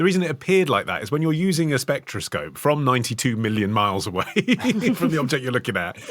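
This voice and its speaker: In a very clean recording with a silent background, a man of medium pitch talks at a very fast pace with very wide pitch swings. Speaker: podcast co-host. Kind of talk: history podcast discussion.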